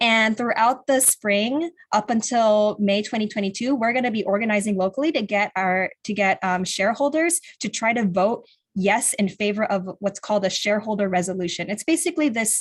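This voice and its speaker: A woman's somewhat breathy, fairly high-pitched voice with an American accent, fairly quick with hardly any pauses and ordinary pitch variation. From California. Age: 20s. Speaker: climate activist organizer. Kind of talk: virtual presentation.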